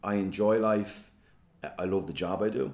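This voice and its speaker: Here a man with a fairly low pitch speaks with a Dublin accent. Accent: Dublin Irish. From Ireland, Dublin (Fingal). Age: 40s. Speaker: politician. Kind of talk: interview. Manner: hesitant, filler-heavy.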